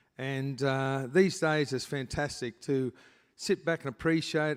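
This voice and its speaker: At a fairly slow pace, a man with an Australian accent and a fairly high pitch speaks in a very clean recording with a silent background. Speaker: retired speedway driver, hall of fame inductee. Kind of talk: casual on-stage interview. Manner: casual, plain-spoken.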